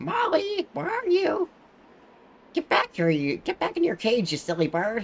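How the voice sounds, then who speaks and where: The pitch runs fairly high. What we hear is a put-on character voice. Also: moderate pace. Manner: scolding, shrill.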